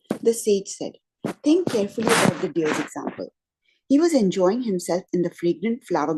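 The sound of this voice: Against a quiet background, the delivery uses an unforced reading voice and lively intonation.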